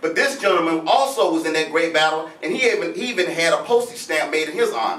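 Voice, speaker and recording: With lively intonation, a man speaks at a fairly quick pace amid noticeable background noise and audible room echo. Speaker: history lecturer. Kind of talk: lecture to live audience. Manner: fast; animated.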